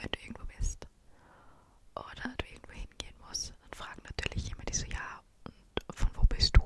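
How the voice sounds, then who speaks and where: Whispering at a fairly slow pace, a woman delivers the words. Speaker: vlogger. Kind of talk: casual vlog chat. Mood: relaxed, chatty. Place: home room. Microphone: studio mic.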